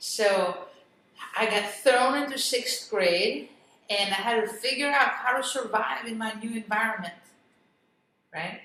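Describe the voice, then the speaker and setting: Amid audible room echo, a woman with a Greek accent speaks at a fairly high pitch, leaving long, frequent pauses. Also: ordinary pitch variation, fairly slow pace. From Greece, moved to US at eleven. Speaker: real estate investor and business coach. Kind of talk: interview.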